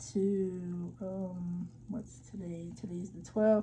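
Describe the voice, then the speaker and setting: A woman's somewhat breathy voice carries a dark, mellow tone. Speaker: vlogger giving job-search tips. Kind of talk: screen-share tutorial. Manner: casual, many fillers.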